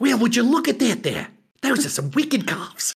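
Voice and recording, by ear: A fairly high-pitched put-on character voice at a fairly quick pace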